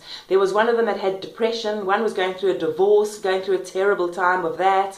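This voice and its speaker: A woman's medium-pitched voice with a South African accent and monotone, flat intonation, over noticeable background noise and audible room echo. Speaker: vlogger and self-help author. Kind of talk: personal testimony. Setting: kitchen at home. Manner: fast.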